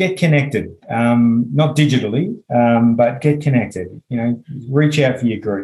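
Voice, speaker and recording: A man with an Australian accent speaks at a moderate pace, with hardly any pauses. His tone is dark, mellow and somewhat breathy, with ordinary pitch variation. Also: medium pitch for a man. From Western Australia. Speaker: clinical psychologist. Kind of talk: casual interview.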